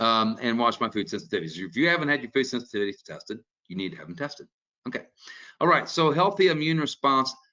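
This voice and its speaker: A man with lively intonation. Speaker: doctor. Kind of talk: lecture. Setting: webinar. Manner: fast; casual.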